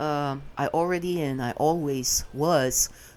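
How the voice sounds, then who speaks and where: A woman talks in a very deep, low voice. Her pace is very slow. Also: very clean recording, silent background. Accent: non-native. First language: not English. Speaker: vlogger. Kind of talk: casual monologue rant. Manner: halting, many filler sounds.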